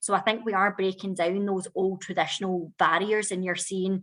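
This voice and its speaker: Quiet background behind a woman with a Scottish accent, at a fairly quick pace. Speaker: whisky master blender. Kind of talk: virtual whisky tasting.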